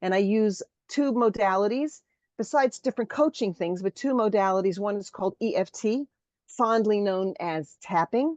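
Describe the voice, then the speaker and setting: A woman uses a normal speaking voice at a medium pitch, with lively intonation and a moderate pace. The sound is dry and close with no echo, against a quiet background. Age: 60s. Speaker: bride teacher and EFT practitioner. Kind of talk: interview.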